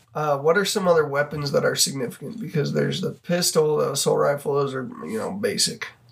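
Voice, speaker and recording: A man with an American accent talks at a fairly quick pace with hardly any pauses. Noticeable background noise runs under his voice. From US, Idaho. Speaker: podcast host. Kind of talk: casual chat.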